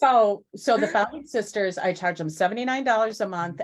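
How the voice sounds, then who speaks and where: A woman speaks in a plain, everyday voice. Her intonation is lively. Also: very clean recording, silent background. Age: 60s. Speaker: business owner. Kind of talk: casual chat.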